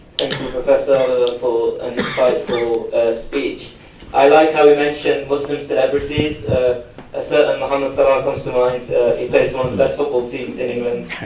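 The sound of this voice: Audible room echo surrounds a man speaking at a medium pitch and a moderate pace. His tone is slightly mellow, with little pitch movement.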